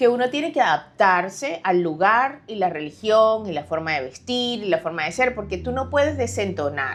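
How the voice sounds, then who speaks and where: The speaker has a Venezuelan accent and very wide pitch swings. There are hardly any pauses. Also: woman. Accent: Venezuelan accent, kept. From Venezuela, Caracas. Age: 40s. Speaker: author. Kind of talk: interview.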